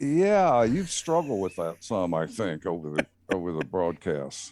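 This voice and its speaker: In a Southern US accent, a man speaks fairly slowly with a very deep, low pitch and lively intonation. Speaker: racing team owner, electrical engineer. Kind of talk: casual interview.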